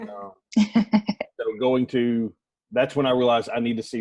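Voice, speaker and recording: A man with a Southern US accent speaks in a flat, monotone way. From US South, rural North Alabama. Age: 30s. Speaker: adoptive father. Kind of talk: casual group discussion.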